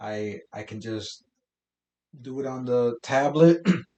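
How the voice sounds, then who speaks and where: Speaking in an American accent, a man shows ordinary pitch variation. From South Side Chicago, Mexican family. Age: 20s. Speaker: artist and podcast host. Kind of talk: casual chat.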